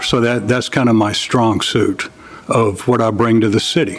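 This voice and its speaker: There is noticeable noise in the background. Over it, a man of medium pitch speaks with a Southern US accent. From US South, Louisiana. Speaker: city council candidate, retired electrician. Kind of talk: candidate speech.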